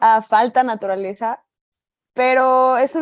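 A woman's high voice with ordinary pitch variation, in a dry, close sound with no echo. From Mexico, Aguascalientes. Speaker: dentist. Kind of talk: interview.

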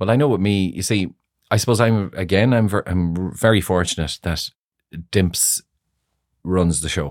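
In a very clean recording with a silent background and a dry, close sound with no echo, a man with a very deep, low pitch talks at a moderate pace, using ordinary pitch variation and long, frequent pauses. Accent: Irish. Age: 50s. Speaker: hair salon owner. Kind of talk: casual chat.

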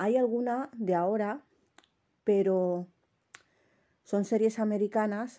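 Dark, mellow tone at a very slow pace, with fairly even intonation and long, frequent pauses. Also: woman, fairly high pitch for a woman. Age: 30s. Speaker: podcaster. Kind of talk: casual monologue.

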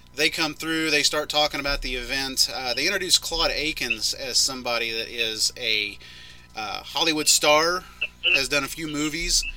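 A man with a fairly high pitch and ordinary pitch variation talks at a moderate speed through noticeable background noise. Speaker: podcast host. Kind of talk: casual chat reviewing monster truck footage.

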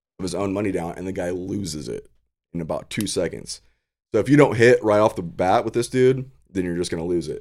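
Recorded very cleanly against a silent background, a man with an ordinary speaking voice talks at a fairly quick pace and fairly low pitch with ordinary pitch variation. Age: 30s. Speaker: podcast guest. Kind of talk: casual chat.

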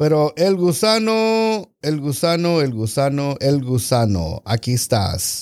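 With very wide pitch swings around a medium pitch, a man speaks at a very slow pace on a very clean recording with a silent background. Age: 40s. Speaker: podcast co-host. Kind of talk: casual chat.

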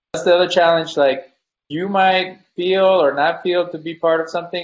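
A man's high voice at a moderate pace. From Mexico. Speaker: podcast host. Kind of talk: panel discussion.

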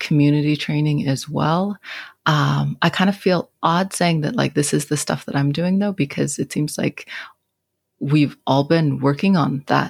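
Woman with an American accent and a very deep, low pitch, somewhat breathy, at a fairly slow pace with ordinary pitch variation and very even loudness, on a very clean recording with a silent background. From western Montana, St. Ignatius. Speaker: college instructor. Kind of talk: casual group discussion.

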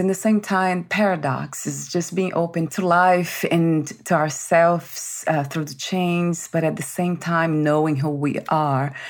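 An ordinary speaking voice belongs to this woman, whose pitch is fairly low. Her intonation is fairly even, and she leaves hardly any pauses. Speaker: podcast host. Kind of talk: interview. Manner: warm, effusive.

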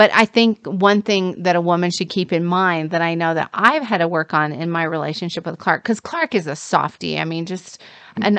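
Against a quiet background, a woman with an unremarkable speaking voice talks at a moderate pace and fairly low pitch, with ordinary pitch variation. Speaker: dating and relationship coach. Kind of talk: casual chat. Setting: studio.

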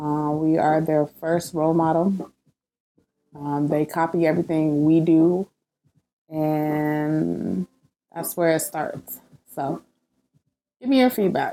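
With very slow pacing and long, frequent pauses, a woman speaks at a very deep, low pitch in a dark, mellow tone with ordinary pitch variation. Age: 30s. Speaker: podcast host and mother. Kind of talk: casual monologue.

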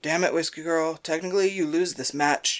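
A put-on character voice at a moderate pace and middle pitch, on a very clean recording with a silent background. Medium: audio drama. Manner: jovial, teasing.

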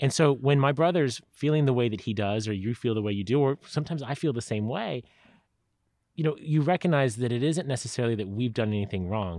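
A man with a Californian accent, very fast pace, medium pitch and lively intonation against a quiet background. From San Diego, California. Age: 40s. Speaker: politician. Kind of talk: interview. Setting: at the host's house.

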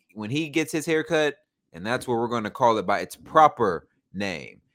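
In a very clean recording with a silent background, a man with a Southern US accent speaks with lively intonation. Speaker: podcast host. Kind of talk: casual banter. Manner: animated, humorous.

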